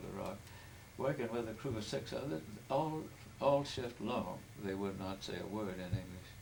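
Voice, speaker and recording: A man speaks at a moderate pace with a fairly low pitch and ordinary pitch variation, with noticeable background noise and audible room echo. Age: 80s+. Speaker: family elder telling his life story. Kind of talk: oral history interview. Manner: halting.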